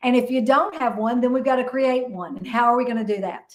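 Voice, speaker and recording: Her pitch is high and her tone animated. The woman speaks at a fairly quick pace. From Kentucky. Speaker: real estate broker and investor. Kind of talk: interview.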